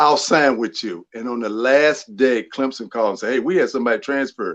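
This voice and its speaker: Speaking with a North Carolina accent, a man talks fairly quickly at a medium pitch. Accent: Southern, North Carolina. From North Carolina, small town Rutherfordton. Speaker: former pro basketball player. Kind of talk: interview. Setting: live podcast show.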